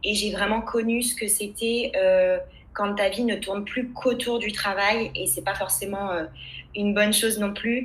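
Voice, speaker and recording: Noticeable background noise and audible room echo surround a woman with a fairly high pitch. She talks at a fairly slow pace in a flat monotone. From France, Loire region countryside (Châteaudun). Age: 20s. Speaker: labour lawyer and career coach. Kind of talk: interview testimony. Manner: hesitant, many fillers.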